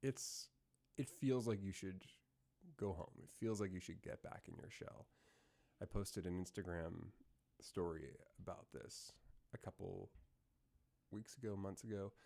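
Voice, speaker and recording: A man's fairly low, dark, mellow voice at a moderate pace, with long, frequent pauses. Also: ordinary pitch variation. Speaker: self-development podcaster. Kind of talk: solo reflective monologue. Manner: casual, hesitant with fillers.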